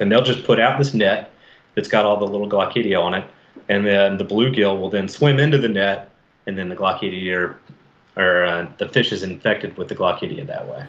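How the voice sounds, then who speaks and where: At a moderate pace, a man with an American accent talks with ordinary pitch variation. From US South, Mobile, Alabama. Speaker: fisheries biologist. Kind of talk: casual interview.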